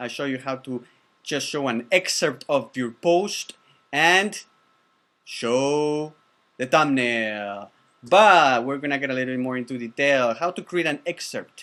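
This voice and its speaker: A man talks at a medium pitch with ordinary pitch variation. His tone is bright and sharp. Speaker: online course instructor. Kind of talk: tutorial course review. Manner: fast; animated.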